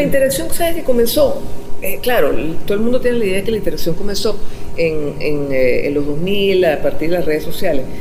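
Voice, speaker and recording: Fairly quick speech with very wide pitch swings over noticeable background noise. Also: woman, medium pitch for a woman. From Venezuela. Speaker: radio host and journalist. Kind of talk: interview answer.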